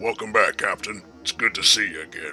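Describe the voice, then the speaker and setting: A man's raspy, put-on character voice at a fairly quick pace. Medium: audio drama. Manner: blunt, grave.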